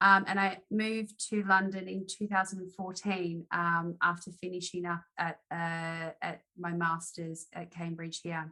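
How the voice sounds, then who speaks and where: With an Australian accent, this voice moves at a fairly slow pace in a monotone, flat intonation, its bright, sharp tone rising and falling in big swings of loudness. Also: woman, fairly low pitch for a woman. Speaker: arbitration lawyer. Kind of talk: interview.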